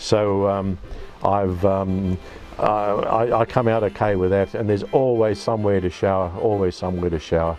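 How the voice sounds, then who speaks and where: A man with an Australian accent speaks at a fairly low pitch and a moderate pace. Music plays in the background. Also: fairly even intonation. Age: 70s. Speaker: solo caravan traveller. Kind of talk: casual personal story to camera. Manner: halting, many fillers and restarts.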